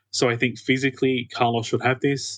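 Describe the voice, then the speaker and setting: Medium-pitched male voice with an Australian accent, dry and close with no echo. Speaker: tennis fan. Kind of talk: casual chat. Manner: fast talker.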